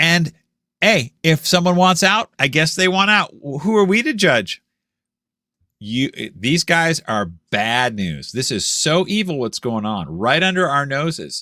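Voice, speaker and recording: The voice has a bright, sharp, animated tone with very wide pitch swings at a fairly slow pace, in a very clean recording with a silent background. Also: man, fairly high pitch for a man. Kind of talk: monologue commentary video. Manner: animated, sarcastic; deliberately slow at points.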